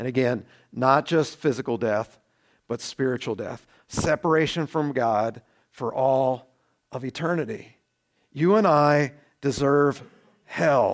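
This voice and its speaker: Recorded very cleanly against a silent background, a man talks at a fairly slow pace with long, frequent pauses. His pitch sits in the medium range for a man and varies in an ordinary way. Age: 40s. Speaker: pastor. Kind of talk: sermon. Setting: church. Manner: animated.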